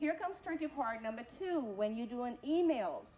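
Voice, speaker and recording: At a moderate pace, a woman with a non-native accent speaks in a high pitch with lively intonation. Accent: foreign. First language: not English. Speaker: college program coordinator and instructor. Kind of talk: workshop talk.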